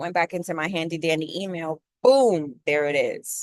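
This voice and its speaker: In an American accent, the voice has a dry, close sound with no echo. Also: woman. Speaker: spiritual content creator. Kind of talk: motivational monologue.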